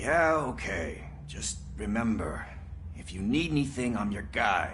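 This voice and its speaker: A man's put-on character voice, fairly low in pitch and fairly slow, with clear background noise. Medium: video game. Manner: wry, joking.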